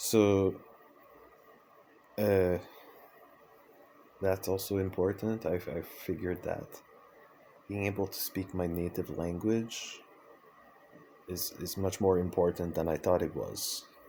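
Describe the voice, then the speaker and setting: With a Quebec accent, a man speaks at a very deep, low pitch in a dark, mellow tone. His delivery is fairly slow and monotone, with flat intonation and long, frequent pauses. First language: French. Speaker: vlogger, circus artist and dancer. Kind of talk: personal vlog monologue. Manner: hesitant, many fillers and restarts.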